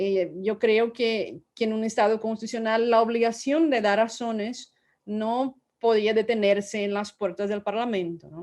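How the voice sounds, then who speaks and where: With a Portuguese accent, a woman speaks fairly slowly at a fairly high pitch, keeping her intonation fairly even. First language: Portuguese (speaking Spanish). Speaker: law professor, book author. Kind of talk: academic book presentation. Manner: halting, many repetitions and fillers.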